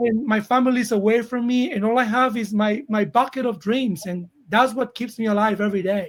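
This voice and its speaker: A man with a high voice talks at a fairly quick clip, his intonation fairly even and his speech hardly broken by pauses. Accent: Colombian. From Colombia. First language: Spanish. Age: 40s. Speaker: actor. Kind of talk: interview.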